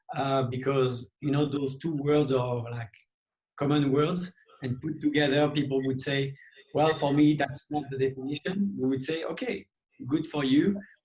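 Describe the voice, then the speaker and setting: This man speaks in a French accent. His voice is somewhat breathy. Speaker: movement coach. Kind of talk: interview.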